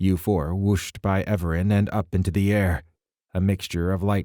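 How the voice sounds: Over a quiet background comes a natural reading voice with fairly even intonation.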